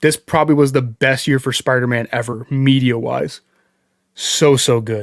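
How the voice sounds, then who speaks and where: This man has a plain, everyday voice with an American accent and a medium pitch. His intonation is fairly even, and the sound is dry and close with no echo. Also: moderate pace. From New York. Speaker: movie streamer. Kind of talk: livestream movie ranking chat. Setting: live stream with chat.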